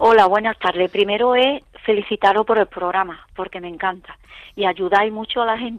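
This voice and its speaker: At a moderate pace, a woman talks in an unremarkable speaking voice of medium pitch, with fairly even intonation and a dry, close sound with no echo. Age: 60s. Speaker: caller. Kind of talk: call-in question.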